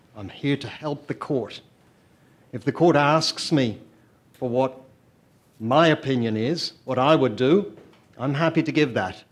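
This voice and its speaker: With an Irish accent, a man speaks fairly slowly in a fairly high voice. His pitch varies in an ordinary way, and he takes long, frequent pauses. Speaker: lawyer, amicus curiae in court. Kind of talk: legal argument before a court. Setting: courtroom, live-streamed hearing. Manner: formal.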